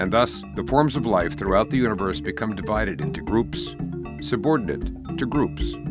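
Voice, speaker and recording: Music plays behind a speaker with an American accent. The pace is moderate, and the pitch swings very widely. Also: man, very deep, low pitch for a man. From United States. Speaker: voice-over narrator reading historical texts. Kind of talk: documentary narration of historical text, reflective reading.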